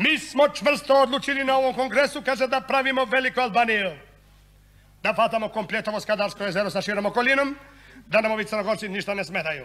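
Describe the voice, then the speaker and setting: A man's raised, projected voice, animated yet deadpan in tone, at a fairly quick pace. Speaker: monodrama actor, satirical comedian. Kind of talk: satirical monodrama on stage, comic political monologue. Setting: stage with audience. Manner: animated, sarcastic, deadpan punchlines; switches between voices and dialects, conversational rhythm.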